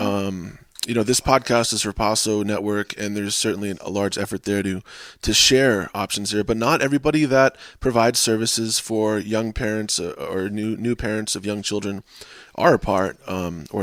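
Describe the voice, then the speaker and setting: With a normal speaking voice, a man talks at a fairly quick pace in a fairly low pitch with fairly even intonation. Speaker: podcast host. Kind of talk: podcast interview.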